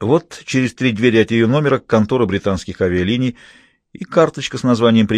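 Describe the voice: Over a quiet background, the voice gives a plain reading aloud with ordinary pitch variation.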